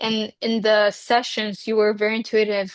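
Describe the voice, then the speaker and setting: A woman with an Israeli accent speaks at a fairly high pitch in a dry, close sound with no echo and a quiet background. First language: Hebrew. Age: 20s. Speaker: reiki healer. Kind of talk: interview.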